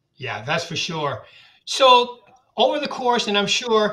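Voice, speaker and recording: The voice is raised and projected, with lively intonation. It moves at a moderate pace. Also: man. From New England. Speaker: real estate sales executive and podcast host. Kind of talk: interview. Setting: studio. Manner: casual.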